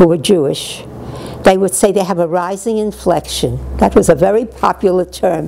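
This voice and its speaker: Over noticeable background noise, a woman with a New York accent speaks at a moderate pace. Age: 80s+. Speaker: retired teacher. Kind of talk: interview answer.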